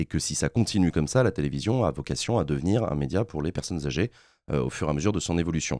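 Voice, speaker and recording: A man with a very deep, low voice and a dark, mellow tone speaks at a very fast pace with vocal fry and lively intonation. The sound is dry with no echo, and the background is quiet. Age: 30s. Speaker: political streamer. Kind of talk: interview. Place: studio. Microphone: studio mic.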